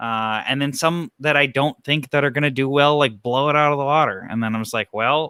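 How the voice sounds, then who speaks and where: Here is a man with an ordinary speaking voice, pitched fairly high, with ordinary pitch variation. He moves at a fairly quick pace with hardly any pauses. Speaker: bike YouTuber, show co-host. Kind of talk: casual panel chat on live stream.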